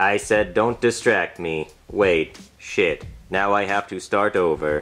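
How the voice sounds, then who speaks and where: In a cartoonish character voice, a man sounds robotic at a fairly low pitch. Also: fairly slow pace. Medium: puppet show. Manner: irritable, mechanical.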